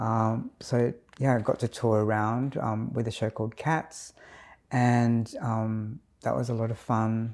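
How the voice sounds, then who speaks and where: In an Australian accent, a man of medium pitch speaks fairly slowly in a flat monotone, recorded very cleanly with a silent background. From Adelaide, South Australia (Filipino Australian community). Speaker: dance and movement therapist, community educator. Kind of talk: interview. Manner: hesitant, many fillers.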